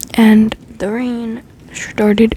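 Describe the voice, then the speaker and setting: A woman is whispering. Noticeable background noise is present. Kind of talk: ASMR soft-spoken storytelling. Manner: soft-spoken.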